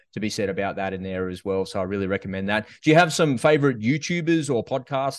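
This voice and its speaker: A man talks at a very fast pace with an Australian accent. The background is quiet. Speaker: podcast host, interviewer. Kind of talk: interview, casual chat.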